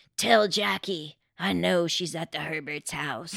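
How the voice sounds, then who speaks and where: This is a put-on character voice at a middle pitch. It sounds raspy. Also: fairly slow pace. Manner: ominous.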